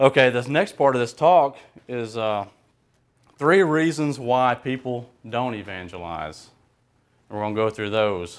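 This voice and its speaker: This is a very clean recording with a silent background. A man with a medium pitch and ordinary pitch variation talks at a fairly slow pace. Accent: Alabama. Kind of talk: talk to a group. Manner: casual, hesitant.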